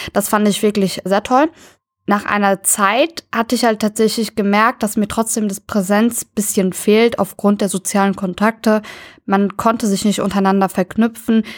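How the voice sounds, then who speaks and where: In a very clean recording with a silent background and a dry, close sound with no echo, a woman speaks in a normal speaking voice at medium pitch and a moderate pace, with very even loudness and fairly even intonation. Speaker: university student. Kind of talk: casual interview.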